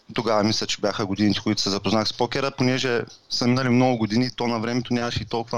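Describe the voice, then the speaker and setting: Very fast, monotone speech from a man at medium pitch, with flat intonation. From Bulgaria, Varna. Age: 30s. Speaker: professional poker player and online seller. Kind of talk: interview.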